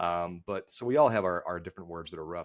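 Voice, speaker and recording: A man talks at a very fast pace in a Dallas accent. The recording is very clean with a silent background. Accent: Dallas Texas. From Texas, Dallas area. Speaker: golf podcast co-host, guest. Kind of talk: casual podcast chat. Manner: halting, many fillers and repeats.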